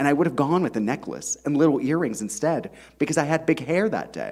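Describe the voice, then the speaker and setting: A man talks at a very fast pace. Vocal fry runs through his voice. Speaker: author. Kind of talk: reading aloud.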